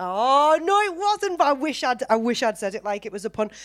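An animated woman's voice with lively intonation in a Teesside accent. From Teesside, north-east England. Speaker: podcast host. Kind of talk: casual chat. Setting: stage with audience.

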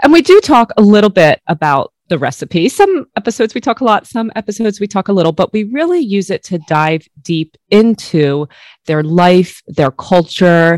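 In a very clean, dry and close recording with a silent background and no echo, a woman at medium pitch speaks at a moderate pace in a warm, passionate tone with very wide pitch swings. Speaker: food photographer and podcaster. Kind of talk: casual interview conversation.

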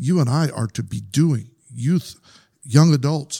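In a very clean recording with a silent background, a man speaks at a medium pitch with a dark, mellow, somewhat breathy tone. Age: 50s. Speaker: podcast host and youth minister. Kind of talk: casual interview. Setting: studio.

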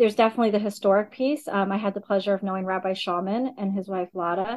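With an American accent, a woman talks at a fairly quick pace and medium pitch in an ordinary speaking voice. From US South, Augusta, Georgia. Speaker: synagogue executive director. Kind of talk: interview.

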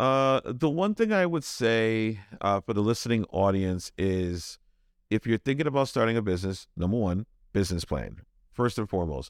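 A man in a normal speaking voice, fairly low in pitch, with an American accent, lively intonation, very even loudness and a moderate pace. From Brooklyn, New York. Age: 40s. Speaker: tattoo shop owner. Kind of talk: casual interview.

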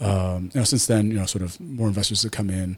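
A man speaks at a fairly quick pace, somewhat breathy and fairly low-pitched, with fairly even intonation. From Taiwan, Taipei. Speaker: businessman and martial arts gym founder. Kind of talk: podcast interview. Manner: hesitant, many fillers.

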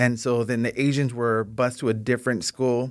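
A man of medium pitch talks at a moderate pace with little pitch movement. The recording is very clean with a silent background.

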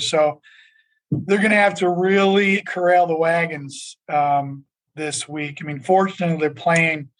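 A man with an American accent and a normal speaking voice, fairly high in pitch, at a fairly slow pace with fairly even intonation. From Buffalo, New York. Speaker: bank lending executive. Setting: video call.

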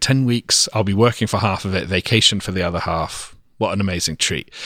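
A man with an English accent speaks in a bright, sharp tone with ordinary pitch variation, the sound dry and close with no echo on a very clean recording with a silent background. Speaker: pastor's son, ministry worker. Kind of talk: casual interview. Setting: home.

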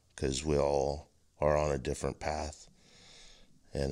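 At a moderate pace, a man with a very deep, low voice and a dark, mellow tone speaks with vocal fry. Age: 40s. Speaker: wrestling coach and podcast host. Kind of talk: casual monologue. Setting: recorded on camera. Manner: halting.

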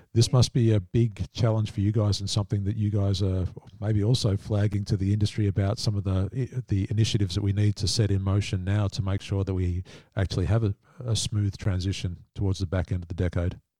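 A man speaks fairly quickly with a fairly low, dark, mellow voice that is somewhat breathy and fairly even in intonation. The recording is very clean, with a silent background and a dry, close sound with no echo. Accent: Australian. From Australia. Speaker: podcast host, industry council executive. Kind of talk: interview.

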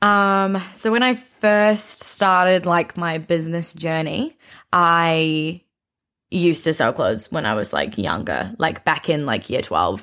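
Woman with a New Zealand accent, fairly low pitch and a bright, sharp tone, at a fairly slow pace. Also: lively intonation, very clean recording, silent background. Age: 20s. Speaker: young entrepreneur and content creator. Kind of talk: casual interview chat.

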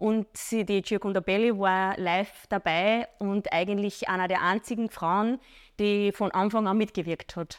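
A woman in a plain, everyday voice, with medium pitch, fairly even intonation, very even loudness, a fairly slow pace and dry, close sound with no echo. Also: very clean recording, silent background. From Upper Austria. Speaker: fitness trainer. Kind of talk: interview.

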